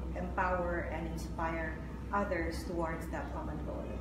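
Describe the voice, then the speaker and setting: A woman speaks at a moderate pace. Audible room echo and loud background noise surround her voice. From Philippines. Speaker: lawyer and public servant. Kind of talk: interview. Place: studio.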